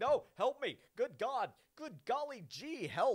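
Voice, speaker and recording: The pitch sits high. It is a put-on character voice. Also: fairly slow pace. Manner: panicked, pleading.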